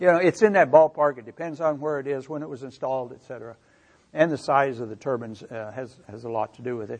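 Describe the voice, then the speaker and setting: With a Midwestern American accent, a man speaks at a fairly high pitch. His pace is fairly quick, with ordinary pitch variation. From US Midwest, Missouri. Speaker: energy researcher. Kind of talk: lecture. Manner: halting.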